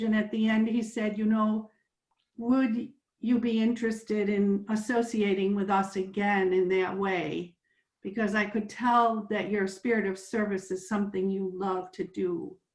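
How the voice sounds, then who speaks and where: Somewhat breathy and fairly high in pitch, a woman talks at a moderate pace with fairly even intonation. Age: 70s. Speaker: participant in interfaith climate discussion. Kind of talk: sharing personal story in group discussion.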